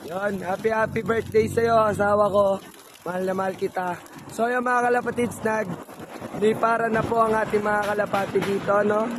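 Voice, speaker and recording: A man talks at a moderate pace in a high pitch. His intonation is monotone and flat, with noticeable background noise. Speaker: pigeon racing vlogger. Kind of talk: casual live vlog commentary.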